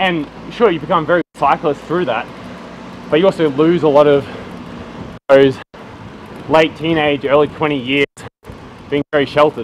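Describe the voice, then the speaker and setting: Pausing long and often, a man with an Australian accent speaks at a moderate pace in a fairly high voice with fairly even intonation. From Australia, around Melbourne (Bendigo). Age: 20s. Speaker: professional cyclist. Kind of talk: casual chat.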